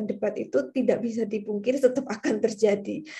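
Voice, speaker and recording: Somewhat breathy and dark, mellow in tone, a woman talks fairly quickly at a fairly high pitch with ordinary pitch variation. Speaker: university lecturer. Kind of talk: lecture. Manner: casual, conversational.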